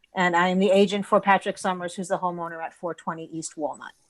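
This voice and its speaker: A woman's ordinary speaking voice at a medium pitch with ordinary pitch variation, on a very clean recording with a silent background. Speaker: permit agent for a homeowner. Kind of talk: public hearing testimony.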